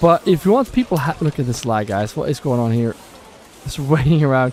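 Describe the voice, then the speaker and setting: Someone with a Swedish accent speaks at a fairly quick pace. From Sweden. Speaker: gaming streamer. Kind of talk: live gameplay stream. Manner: halting; animated.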